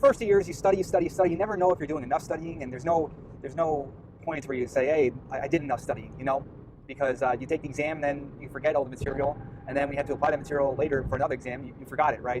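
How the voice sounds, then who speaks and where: A man speaks at a very fast pace in a Long Island accent. His pitch is fairly high, with ordinary pitch variation. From US Northeast, Long Island, New York. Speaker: medical student vlogger. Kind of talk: casual vlog monologue. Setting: in a car. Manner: halting, many fillers and repeats.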